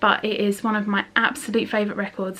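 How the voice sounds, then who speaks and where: Over noticeable background noise, a woman with a British accent talks at a fairly quick pace in a fairly high voice. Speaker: beauty and lifestyle vlogger. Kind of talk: casual chat. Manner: fast; animated.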